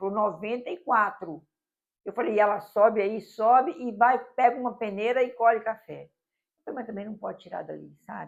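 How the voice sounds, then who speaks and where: With vocal fry and a fairly high pitch, a woman speaks at a moderate pace, using ordinary pitch variation and big swings in loudness. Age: 70s. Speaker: public prosecutor. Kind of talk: interview conversation. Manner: anecdotal storytelling.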